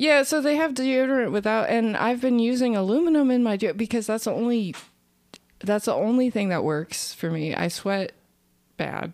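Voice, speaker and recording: Using a plain, everyday voice, a woman speaks at a moderate pace and fairly high pitch with lively intonation. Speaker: comedian. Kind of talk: casual chat.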